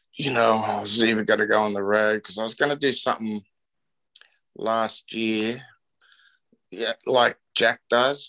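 Against a quiet backdrop, the man talks with an Australian accent. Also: dry, close sound with no echo. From Australia (Newcastle, NSW). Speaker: surfboard shaper and pioneering surfer. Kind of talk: casual interview.

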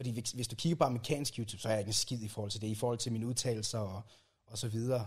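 In a very clean recording with a silent background, a man speaks very fast with fairly even intonation and a somewhat breathy quality. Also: medium pitch for a man. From rural Jutland, Denmark. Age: 20s. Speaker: YouTuber and video editor. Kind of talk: casual interview chat. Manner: halting, repeats words.

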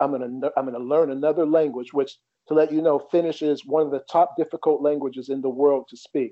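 A man at a fairly quick pace, fairly high in pitch, with an American accent and monotone, flat intonation. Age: 40s. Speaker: tennis coach. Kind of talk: interview.

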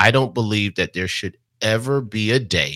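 Recorded very clean with a silent background and dry, close sound with no echo, a man in a normal speaking voice talks at a fairly slow pace with ordinary pitch variation. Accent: American. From New Jersey, Jersey City. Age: 40s. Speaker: real estate investor. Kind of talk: interview.

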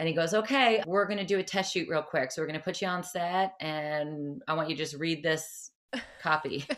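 With an American accent, a woman talks at a fairly quick pace in a normal speaking voice, her fairly low pitch showing ordinary variation, on a very clean recording with a silent background. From New Jersey, near New York City. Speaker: cycle and fitness instructor. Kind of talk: interview.

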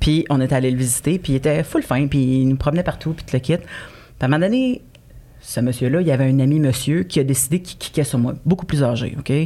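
A woman with a very deep, low voice and a dark, mellow tone, at a fairly quick pace with ordinary pitch variation. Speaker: comedian. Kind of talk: casual chat.

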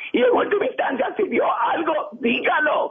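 Noticeable background noise sits behind the man. His tone is animated, with very wide pitch swings. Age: 60s. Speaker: community leader. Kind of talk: radio interview.

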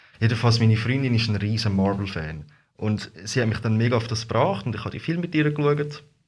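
Talking at a very fast pace with lively intonation, a man sounds somewhat breathy at medium pitch. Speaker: costumed street performer. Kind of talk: casual interview. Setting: studio.

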